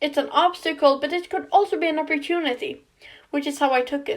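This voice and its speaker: A woman with a non-native accent speaks at a high pitch with ordinary pitch variation. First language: not English. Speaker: fan theory video creator. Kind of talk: casual commentary on book theories. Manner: some stumbles and restarts.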